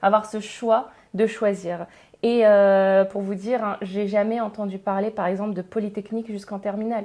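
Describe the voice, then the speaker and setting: This woman's medium-pitched voice has a dark, mellow tone and a monotone, flat delivery at a moderate pace. The recording is very clean, with a silent background. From northern France, Pas-de-Calais. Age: 30s. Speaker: engineer and education entrepreneur. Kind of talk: podcast interview. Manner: hesitant, many fillers.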